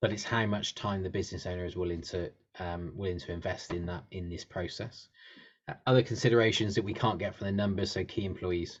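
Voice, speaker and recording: Speaking very fast with a British accent, a man uses a fairly low pitch and fairly even intonation. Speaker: webinar presenter for finance software. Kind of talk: webinar presentation. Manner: hesitant, many fillers and repeats.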